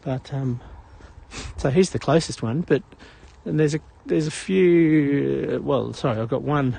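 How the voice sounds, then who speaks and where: This man speaks with an Australian accent. His voice is somewhat breathy, with a dark, mellow tone. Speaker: live-stream walking vlogger. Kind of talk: casual live-stream chat while walking. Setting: outdoors on a morning walk. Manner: casual, hesitant with fillers.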